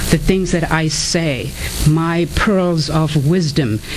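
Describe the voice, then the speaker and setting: Over music in the background, a speaker with an African accent talks at a very slow pace with fairly even intonation. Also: woman. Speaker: author and inspirational speaker. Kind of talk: radio interview.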